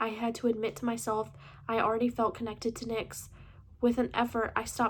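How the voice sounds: Natural, read-aloud speech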